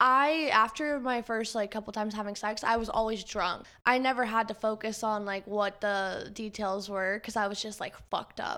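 A woman's bright, sharp voice at a fairly high pitch, moderate pace and hardly any pauses, on a very clean recording with a silent background. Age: 20s. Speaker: podcast host. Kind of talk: casual chat.

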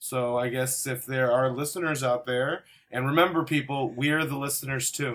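A man with an American accent speaks at a moderate pace in a medium pitch, with fairly even intonation. He has an unremarkable speaking voice. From Chicago. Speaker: comedic performer, cast member. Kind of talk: improv comedy chat.

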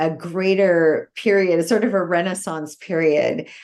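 A woman speaks at a fairly low pitch. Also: quiet background. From Belgium. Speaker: chocolate farmer and cookbook author. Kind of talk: interview.

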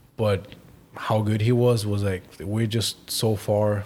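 In a German accent, a man speaks at a fairly low pitch and sounds somewhat breathy. His intonation is monotone and flat. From Germany. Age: 20s. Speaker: professional footballer. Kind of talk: casual interview.

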